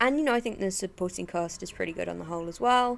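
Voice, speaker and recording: On a very clean recording with a silent background, a woman speaks with an English accent and ordinary pitch variation. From England. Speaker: podcast host, film and TV reviewer. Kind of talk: solo monologue review. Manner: casual with many filler words.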